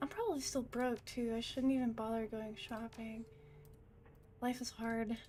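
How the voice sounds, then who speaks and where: Against noticeable background noise, a soft-spoken woman with a fairly high pitch talks at a moderate pace in a monotone, flat intonation, with long, frequent pauses. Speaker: VTuber gaming streamer. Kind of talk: casual live-stream chat while gaming. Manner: soft-spoken, naturally quiet voice.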